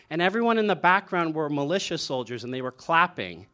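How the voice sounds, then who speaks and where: On a very clean recording with a silent background, a man speaks with lively intonation and a bright, sharp tone at a fairly high pitch. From East Asia. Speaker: humanitarian aid worker. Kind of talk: storytelling.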